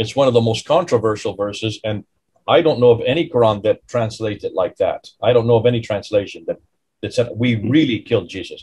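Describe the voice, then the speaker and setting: Speaking at a very fast pace, a man with a somewhat breathy voice uses ordinary pitch variation over a quiet background. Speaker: podcast host. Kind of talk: interview discussion. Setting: video call. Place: home room. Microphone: video call.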